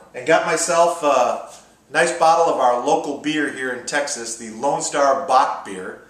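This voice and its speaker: Room echo can be heard. Pitch moves up and down in an ordinary way. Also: man. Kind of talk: cooking tutorial. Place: kitchen. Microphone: camera far.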